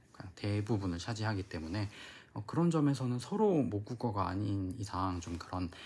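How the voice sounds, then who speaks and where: A man's fairly low, somewhat breathy voice at a moderate pace, with ordinary pitch variation. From South Korea. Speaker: flight attendant vlogger. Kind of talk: casual vlog talk to camera. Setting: recorded while abroad in Nice, France. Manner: casual with frequent filler sounds.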